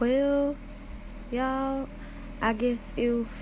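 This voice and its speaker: A woman is speaking. She has a Southern US accent. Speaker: broadcaster. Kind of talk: casual live broadcast chat. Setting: at work after school bell. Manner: animated.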